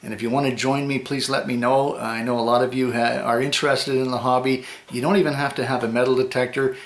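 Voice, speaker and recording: A man with a Canadian accent talks at a very fast pace with hardly any pauses. His medium pitch stays in fairly even intonation over noticeable background noise. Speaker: metal detecting vlogger. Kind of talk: casual vlog. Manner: hesitant, many fillers.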